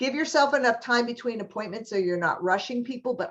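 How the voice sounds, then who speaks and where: With lively intonation, a woman speaks in an American accent. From US East Coast, New York. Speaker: HR trainer and college staff. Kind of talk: webinar training presentation. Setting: online webinar.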